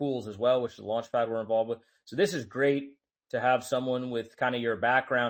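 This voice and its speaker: Using a normal speaking voice, a man with an American accent talks at a fairly quick pace and medium pitch with fairly even intonation. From United States. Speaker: host of a crypto audio space. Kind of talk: casual panel discussion. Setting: online audio space.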